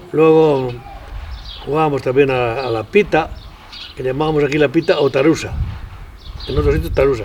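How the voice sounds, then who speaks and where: The speech has fairly even intonation over noticeable background noise. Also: man. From Spain, Castile and León (Tierra de Campos). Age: 90s. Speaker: elderly rural villager. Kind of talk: interview reminiscence. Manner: halting.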